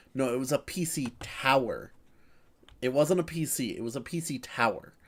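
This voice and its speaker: Against a silent background in a very clean recording, a man speaks in an animated tone at a moderate pace. His pitch is fairly high and varies in an ordinary way. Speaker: streamer. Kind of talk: casual chat.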